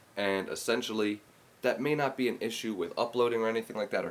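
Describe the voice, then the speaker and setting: A quiet man talks at a very fast pace with fairly even intonation. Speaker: podcast host and music producer. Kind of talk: casual solo podcast talk. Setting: at home, early morning. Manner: kept quiet, voice held down; casual, with many fillers.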